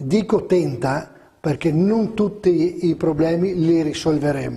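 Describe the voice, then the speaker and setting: High-pitched yet dark and mellow in tone, a man's voice moves at a very slow pace with ordinary pitch variation. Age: 60s. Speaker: politician, regional election candidate. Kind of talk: interview.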